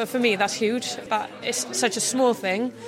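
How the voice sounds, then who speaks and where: A woman with a Welsh accent at a fairly quick pace, with ordinary pitch variation and noticeable background noise. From Wales. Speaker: rugby player. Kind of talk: interview.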